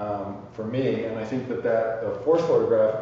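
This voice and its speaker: Over light background noise and strong room echo, a man speaks with fairly even intonation. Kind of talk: interview answer. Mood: reflective, thoughtful. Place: workshop.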